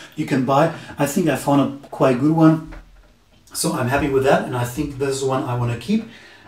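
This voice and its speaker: A man's fairly high voice in a German accent, fairly even in intonation, with audible room echo and noticeable background noise. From Germany. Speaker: tech reviewer youtuber. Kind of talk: product review tutorial. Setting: indoors, camera at two meters distance. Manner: halting, with fillers.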